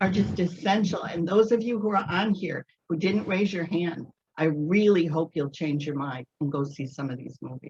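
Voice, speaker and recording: A woman's fairly low, somewhat breathy voice with lively intonation. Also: moderate pace. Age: 70s. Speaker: audience participant. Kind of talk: casual discussion.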